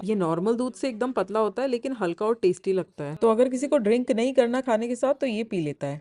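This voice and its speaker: A woman with a normal speaking voice talks at a moderate pace, her fairly high pitch carried by lively intonation. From India. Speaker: vlogger. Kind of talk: travel vlog narration.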